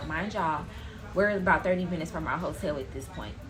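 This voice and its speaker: There is audible room echo and noticeable background noise as a woman speaks with an American accent. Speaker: storytime vlogger. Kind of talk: storytime monologue.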